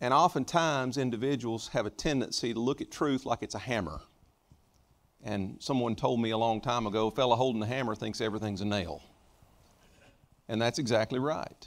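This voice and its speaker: A man's pitch varies in an ordinary way as he talks at a fairly quick pace. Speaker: preacher. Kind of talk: sermon. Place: church.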